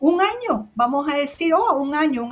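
Lively intonation carries speech delivered at a moderate pace. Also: woman. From Cuba. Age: 60s. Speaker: cruise travel agent. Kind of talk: casual chat.

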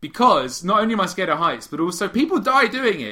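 Talking very fast, a man is heard above noticeable background noise. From Britain. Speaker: podcast co-host. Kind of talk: casual chat.

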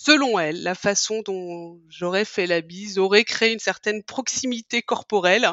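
A woman's medium-pitched voice at a fairly slow pace, with hardly any pauses and ordinary pitch variation. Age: 40s. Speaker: podcast guest sharing her love story. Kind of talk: casual interview, personal storytelling. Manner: hesitant, many fillers and repetitions.

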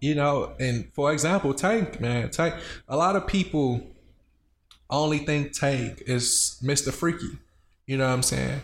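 With an American accent, a man speaks at a fairly slow pace with long, frequent pauses, a somewhat breathy, fairly high voice, very even loudness and ordinary pitch variation. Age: 30s. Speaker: podcast co-host. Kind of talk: casual chat. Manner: animated.

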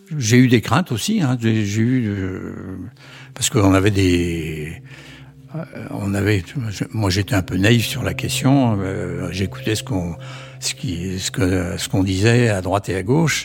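With music in the background, a man speaks very slowly at a fairly low pitch, his intonation lively and his pauses long and frequent. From Brittany, France. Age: 80s+. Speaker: retired grandfather. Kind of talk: testimony. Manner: halting.

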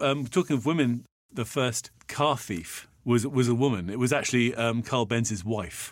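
With a British accent, a man speaks at medium pitch. He keeps a moderate pace and ordinary pitch variation. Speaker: podcast co-host and voiceover artist. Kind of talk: casual chat.

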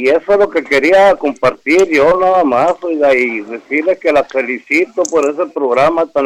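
With ordinary pitch variation, the speaker has a plain, everyday voice. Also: man. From Hermosillo, Sonora, Mexico. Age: 60s. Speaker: caller.

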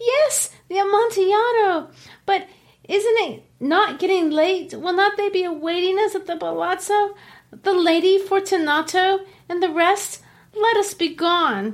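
Squeaky and extremely high in pitch, a put-on character voice speaks at a moderate pace. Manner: eager, boastful.

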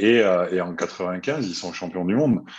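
The man's pitch sits very deep and low, with only a quiet background behind him. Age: 40s. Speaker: retired handball player. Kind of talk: casual chat.

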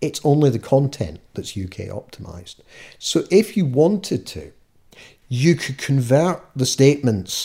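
In a west of Scotland accent, a man speaks with a dark, mellow tone and lively intonation. The recording is very clean, with a silent background. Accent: west of Scotland Scottish. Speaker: charity consultant. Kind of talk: interview. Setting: at home.

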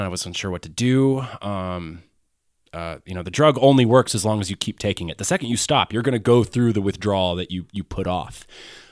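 A plain, everyday voice from a man, fairly low in pitch with ordinary pitch variation and a fairly quick pace, in a very clean recording with a silent background and a dry, close sound with no echo. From US South (Athens, Georgia), born in Wisconsin. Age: 30s. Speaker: podcast host and filmmaker. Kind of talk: personal storytelling monologue. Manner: casual, many fillers and laughs.

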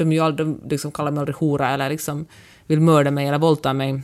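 This woman's voice is very deep and low in pitch, moving at a fairly quick pace. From Finland (Finland-Swedish). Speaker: podcast co-host, columnist and blogger. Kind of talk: casual chat.

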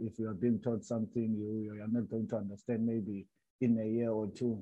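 Speaking with a South African accent, a man talks at a medium pitch. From South Africa, Cape Town. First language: Xhosa. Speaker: retired footballer. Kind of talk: casual interview. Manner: halting.

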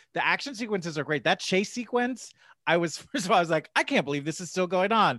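Speaking very fast in a raised, projected voice, a man with an American accent uses a high pitch, lively intonation and a bright, sharp tone against a quiet background. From New Jersey. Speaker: podcast co-host. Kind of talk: casual chat.

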